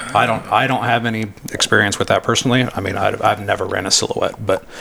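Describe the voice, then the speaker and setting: A man with an American accent at a very fast pace, with noticeable background noise behind him. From Yuba City, Northern California. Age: 30s. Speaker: hunting guide. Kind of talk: casual chat.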